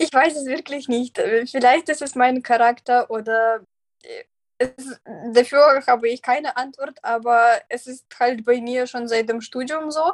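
A woman speaks at a high pitch and a fairly slow pace with fairly even intonation. Her loudness swings widely, and the sound is dry and close with no echo. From Belarus. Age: 20s. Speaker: vocational trainee, trained lawyer. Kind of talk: interview. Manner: halting, many fillers.

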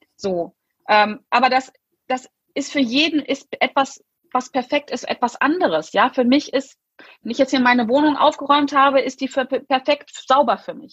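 The pitch variation is ordinary. The sound is dry and close, with no echo. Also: woman. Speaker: success and mindset coach. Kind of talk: interview.

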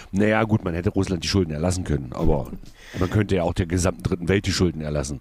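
Talking at a very fast pace, a man with vocal fry uses a very deep, low pitch that varies in an ordinary way. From Saxony-Anhalt, Magdeburg. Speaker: cabaret artist, podcast co-host. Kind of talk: casual chat.

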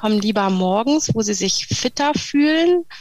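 A woman at a fairly high pitch and moderate pace, lively in intonation, with noticeable background noise. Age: 40s. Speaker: speech therapist and breathing therapist. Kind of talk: interview. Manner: hesitant, many fillers.

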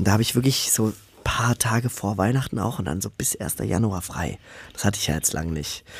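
A man talks at a fairly quick pace in a fairly low, somewhat breathy voice. His intonation is lively. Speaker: podcast co-host, paramedic. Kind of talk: casual chat.

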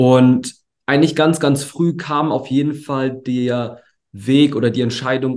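A male speaker's voice holds a mid-range pitch while he keeps to a moderate pace. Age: 20s. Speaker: entrepreneur, agency founder. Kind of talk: interview. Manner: relaxed; hesitant, many fillers.

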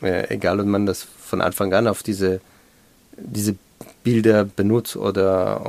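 Flat and monotone, a man speaks with an Israeli accent at a fairly low pitch. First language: Hebrew (speaking German). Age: 40s. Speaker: educator, head of a civic education centre. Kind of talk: interview. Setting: studio. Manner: halting.

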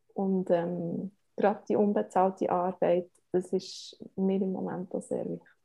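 A woman speaks with a Bernese accent at a medium pitch. Her intonation is monotone and flat, at a fairly slow pace. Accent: Bernese Swiss German. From Switzerland, Bern. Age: 30s. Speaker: family blogger and media spokesperson. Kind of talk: interview.

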